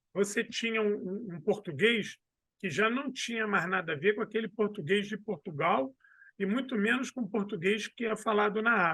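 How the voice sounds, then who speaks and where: This man, with a Rio de Janeiro accent, has a high pitch, a moderate pace and ordinary pitch variation. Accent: Carioca. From Brazil, Rio de Janeiro. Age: 40s. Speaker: history professor and historian. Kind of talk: casual interview.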